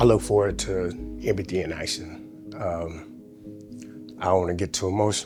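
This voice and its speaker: Over music in the background, a man speaks at a moderate pace with lively intonation. His very deep, low pitch is broken by long, frequent pauses. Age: 50s. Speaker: incarcerated program coordinator. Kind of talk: documentary interview answer. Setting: prison. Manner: passionate.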